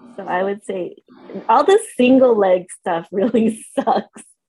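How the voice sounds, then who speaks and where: A woman speaks very slowly with a Californian accent. Her tone is dark and mellow. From San Diego, California. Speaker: eyelash extension artist. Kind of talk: casual interview chat.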